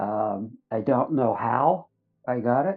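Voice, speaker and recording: Music plays in the background as a man speaks. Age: 70s. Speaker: near-death experience survivor. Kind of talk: testimony. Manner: hesitant, many fillers.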